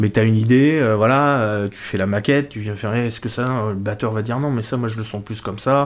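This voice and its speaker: A man talks at a very fast pace with a fairly even intonation. His pitch sits in the middle range. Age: 50s. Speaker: guitarist. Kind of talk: casual chat. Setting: home cellar studio.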